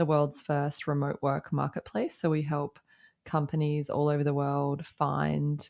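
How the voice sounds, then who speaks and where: On a very clean recording with a silent background, a woman with an Australian accent speaks slowly-ish, at a fairly slow pace, in a very deep, low pitch and a monotone, flat intonation. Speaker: company founder and CEO. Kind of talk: interview.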